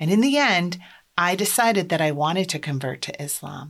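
A woman with an American accent speaks at a moderate pace with lively intonation. The recording is very clean, with a silent background. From US Midwest, Iowa. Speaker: podcast host, life coach for moms. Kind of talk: solo podcast monologue.

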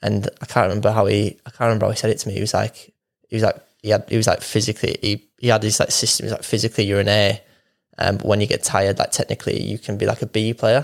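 On a very clean recording with a silent background and a dry, close sound with no echo, a man speaks very fast in a fairly low, monotone, flat voice. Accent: Yorkshire. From northern England, Wakefield, Yorkshire. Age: 20s. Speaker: professional footballer. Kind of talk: casual interview.

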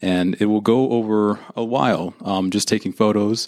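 A man with an American accent has a plain, everyday voice and a fairly low pitch. His intonation is fairly even, and the recording is very clean with a silent background. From Northern California, Santa Rosa. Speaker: occupational therapy student. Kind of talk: interview.

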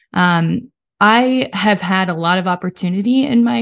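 A woman with a Midwestern American accent talks against a quiet background. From Kansas. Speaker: education liaison. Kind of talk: casual chat.

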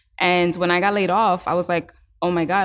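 The speaker talks at a moderate pace with an American accent. It is an ordinary speaking voice. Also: woman, very clean recording, silent background. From New York City, Lower East Side. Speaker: breathwork practitioner and HR manager. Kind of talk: interview. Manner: casual, filler-heavy.

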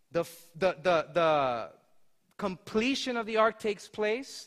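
The delivery is animated in tone and fairly slow in pace. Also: man. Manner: warm, earnest, conversational, with some hesitations and restarts.

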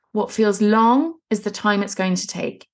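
The woman's voice is fairly high and somewhat breathy. She keeps a moderate pace with ordinary pitch variation. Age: 30s. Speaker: women's fat loss and mindset coach, podcast host. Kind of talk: solo podcast monologue, coaching talk.

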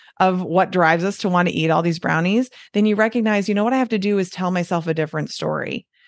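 A woman with a Midwestern American accent talks at a very fast pace. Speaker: doctor and weight loss coach, author. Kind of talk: interview, explanatory conversation.

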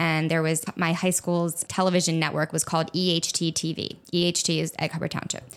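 A woman with an American accent speaks at a fairly low pitch in a plain, everyday voice. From New Jersey, near Atlantic City. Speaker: food blogger and podcast host. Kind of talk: solo monologue, personal story. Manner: casual, chatty.

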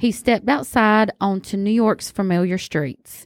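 In a Southern US accent, a woman speaks at a moderate pace with a fairly high pitch, the sound dry and close with no echo on a very clean recording with a silent background. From US South. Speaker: podcast host. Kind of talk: casual chat. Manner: animated.

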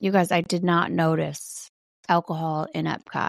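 A woman speaks at a fairly slow pace in a slight Wisconsin accent, her tone animated. The sound is dry and close, with no echo. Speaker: podcast host, sober living. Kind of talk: casual monologue. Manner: chatty, animated.

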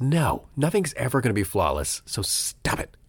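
Vocal fry runs through a man's medium-pitched voice at a moderate pace. His pitch swings very widely. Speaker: podcast host. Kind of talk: casual solo monologue. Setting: home recording, rain at window. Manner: halting, many fillers.

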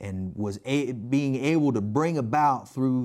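A natural voice, reading aloud

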